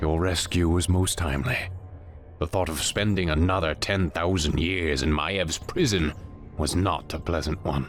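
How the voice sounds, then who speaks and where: Over clear music in the background, a man uses a put-on character voice pitched very deep and low. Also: moderate pace. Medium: video game. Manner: dry, imperious.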